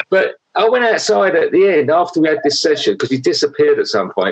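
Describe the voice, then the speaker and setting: A man with a London accent at a moderate pace. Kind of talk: casual chat.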